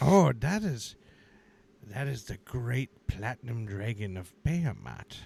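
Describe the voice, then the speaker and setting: A man puts on a character voice at medium pitch. He delivers it at a fairly slow pace. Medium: actual play. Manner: preachy, grandfatherly.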